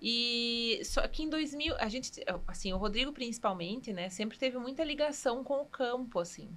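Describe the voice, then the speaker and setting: The speaker moves at a moderate pace with lively intonation. Noticeable background noise can be heard. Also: woman, high pitch for a woman. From Rio Grande do Sul, Passo Fundo. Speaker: cheesemaker. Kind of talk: podcast interview.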